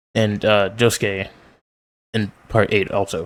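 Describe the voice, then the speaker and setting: Here a man speaks in a monotone, flat way. His pitch is fairly low. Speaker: manga reader. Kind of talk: reading aloud with commentary.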